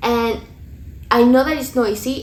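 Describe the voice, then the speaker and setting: A woman with a Mexican accent and a fairly high pitch is heard with audible room echo and noticeable background noise. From Mexico. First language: Spanish. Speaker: lifestyle vlogger. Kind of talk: vlog voiceover, motivational talk.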